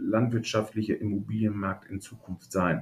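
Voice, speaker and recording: The voice belongs to a man and is somewhat breathy. Its pitch is medium. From Münsterland, northwestern Germany (Hörstel). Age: 50s. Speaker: agricultural real estate agent. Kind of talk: casual interview.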